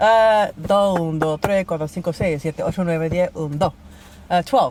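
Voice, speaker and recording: A plain, everyday voice, a woman's, fairly low in pitch with ordinary pitch variation, at a moderate pace in an American accent. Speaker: flamenco dancer and performer. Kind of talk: casual interview. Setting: in a parked car in a park.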